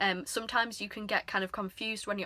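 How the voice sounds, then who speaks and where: Talking at a very fast pace in an English accent, a woman of medium pitch keeps a monotone, with flat intonation. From England. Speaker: couponing YouTuber. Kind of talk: tutorial. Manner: casual, hesitant with frequent ums.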